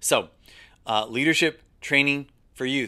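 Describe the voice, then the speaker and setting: In a very clean recording with a silent background, a man sounds animated, with a bright, sharp tone and ordinary pitch variation. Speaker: ministry leadership trainer. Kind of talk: training lesson. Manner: fast.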